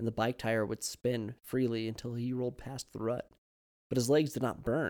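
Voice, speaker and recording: A man's normal speaking voice at a fairly quick pace, medium in pitch, with fairly even intonation. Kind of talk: horror fiction reading. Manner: warm, storytelling read, gentle and emotive.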